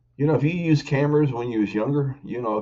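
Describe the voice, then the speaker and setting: A man with a Kentucky accent speaks with ordinary pitch variation. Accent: Kentucky Southern US. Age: 60s. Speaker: YouTuber. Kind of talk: casual vlog talk to camera. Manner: informal, halting with fillers.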